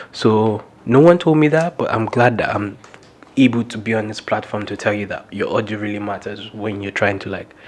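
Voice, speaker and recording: Over noticeable background noise, a man talks at a fairly quick pace with a fairly low pitch. His loudness swings widely, while his pitch varies in an ordinary way. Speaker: videographer vlogger. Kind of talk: casual tutorial vlog. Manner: fast.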